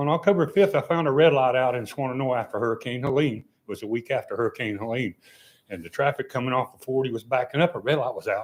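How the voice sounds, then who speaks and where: Here a man talks at a very fast pace with a medium pitch. His pitch variation is ordinary. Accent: Appalachian. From western North Carolina. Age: 70s. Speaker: member of the public speaking at a council meeting. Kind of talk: public comment. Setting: town council meeting.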